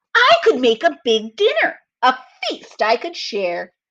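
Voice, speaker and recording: A woman uses a put-on character voice with a high pitch. She speaks at a fairly slow pace. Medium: read story. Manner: gentle.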